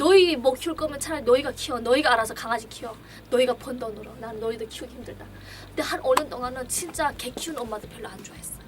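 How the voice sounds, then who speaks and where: A woman talks at a very fast pace and a high pitch, with ordinary pitch variation, big swings in loudness and noticeable background noise. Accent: North Korean. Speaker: clinic director. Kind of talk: casual conversation.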